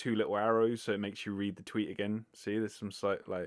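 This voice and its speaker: Talking at a very fast pace, a man with a British accent uses a fairly low pitch. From Britain. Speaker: vegan podcast host. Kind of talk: casual monologue answering listener questions. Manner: casual, filler-heavy (likes, ers).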